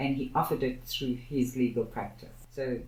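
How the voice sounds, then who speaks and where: A woman's very deep, low voice, somewhat breathy, at a fairly slow pace with audible room echo. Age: 60s. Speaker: activist, co-founder of a social justice institute. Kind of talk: podcast interview.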